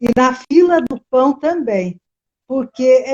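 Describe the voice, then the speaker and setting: High female voice with ordinary pitch variation. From interior of São Paulo state, Piracicaba. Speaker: teacher, educator. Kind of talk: interview, casual chat.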